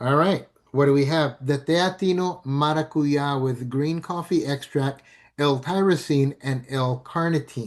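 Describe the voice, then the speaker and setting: A man speaks in a normal speaking voice at a fairly high pitch, with fairly even intonation and very even loudness. He goes at a fairly slow pace against a quiet background. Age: 60s. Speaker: network marketing presenter. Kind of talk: sales pitch. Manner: casual, filler-heavy.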